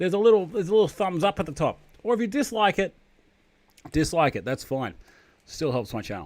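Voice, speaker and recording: A man with a high pitch, very wide pitch swings, a very fast pace and long, frequent pauses. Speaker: streamer eating food on camera. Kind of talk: casual live stream chat.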